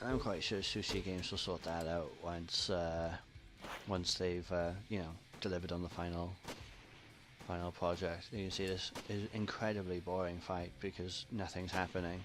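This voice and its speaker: A man speaks in a very deep, low voice with a monotone, flat intonation. Music plays in the background. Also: moderate pace. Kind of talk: gameplay commentary. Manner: casual, chatty.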